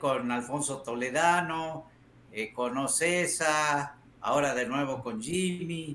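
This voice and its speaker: Very slow speech from a man, fairly high-pitched, with ordinary pitch variation. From Salta, northern Argentina. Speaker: motorsport press director. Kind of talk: interview.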